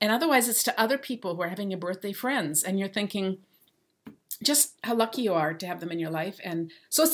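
Fairly quick and lively in intonation, a woman speaks with an unremarkable speaking voice at a medium pitch. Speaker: podcast co-host. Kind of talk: casual chat.

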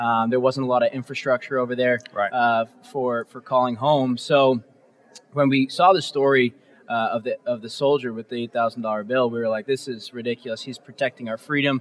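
Heard dry and close with no echo, a man with an American accent and a plain, everyday voice speaks fairly quickly at a medium pitch with fairly even intonation. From Massachusetts South Shore (Norwell). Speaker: nonprofit co-founder. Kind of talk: interview. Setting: conference expo floor with audience.

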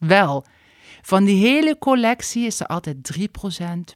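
With a Limburg accent, the speaker talks at a fairly slow pace in a very clean recording with a silent background and a dry, close sound that has no echo. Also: woman. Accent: Limburg accent, still clearly audible. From Limburg, Netherlands. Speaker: stylist and YouTuber. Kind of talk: casual interview chat.

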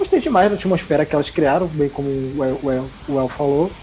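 With noticeable background noise around him, a man with a fairly high pitch talks at a very fast pace, using ordinary pitch variation. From Brazil, Rio de Janeiro. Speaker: podcast guest, listener. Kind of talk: casual chat.

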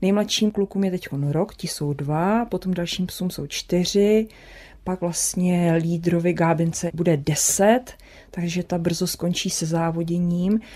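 A woman speaks at a very slow pace with a fairly low pitch, a dark, mellow tone and fairly even intonation. The recording is very clean, with a silent background. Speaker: sled dog racer. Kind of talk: interview.

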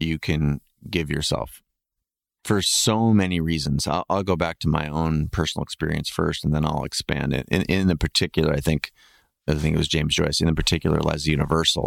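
With an American accent, a man speaks at a very deep, low pitch, and the sound is dry and close with no echo. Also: very clean recording, silent background. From US, suburban. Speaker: podcast host and photographer. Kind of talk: interview conversation.

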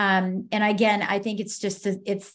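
A woman's medium-pitched voice with an American accent, over a quiet background. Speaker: business consultant and author. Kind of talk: casual interview chat. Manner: fast talker.

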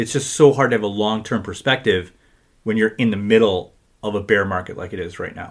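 A man talks at a fairly low pitch and fairly quick pace in an unremarkable speaking voice, with ordinary pitch variation. His loudness swings widely, on a very clean recording against a silent background. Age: 40s. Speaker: financial advisor. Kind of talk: casual chat.

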